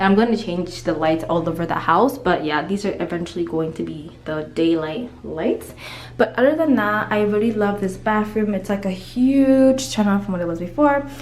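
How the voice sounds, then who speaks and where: With lively intonation and an animated tone, the speaker keeps a moderate pace amid audible room echo and noticeable background noise. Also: woman. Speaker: lifestyle vlogger. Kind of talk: home tour vlog.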